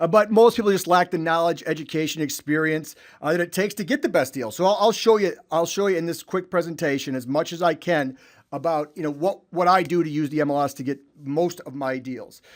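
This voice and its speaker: A man talks with a Chicago accent in a high pitch. His tone is energetic. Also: ordinary pitch variation, fairly quick pace. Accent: Chicago-area US. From Illinois (Chicago suburbs). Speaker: real estate investor and trainer. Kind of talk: webinar presentation. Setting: online webinar. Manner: fast.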